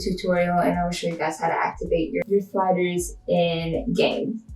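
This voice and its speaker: Noticeable background noise surrounds a woman of medium pitch speaking at a moderate pace in a monotone, flat tone. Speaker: gaming video creator. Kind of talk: tutorial. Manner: casual, chatty.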